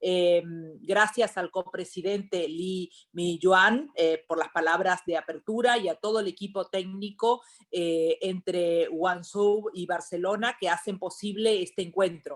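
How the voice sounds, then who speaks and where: A woman talks in an ordinary speaking voice at medium pitch. Her intonation stays fairly even. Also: moderate pace. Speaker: member of European Parliament. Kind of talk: panel speech.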